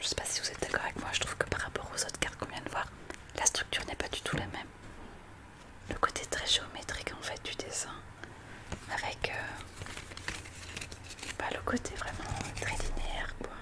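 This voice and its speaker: Whispering at a moderate pace, a woman leaves long, frequent pauses over noticeable background noise. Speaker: ASMR content creator. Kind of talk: casual talk to camera, ASMR card-opening. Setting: studio microphone.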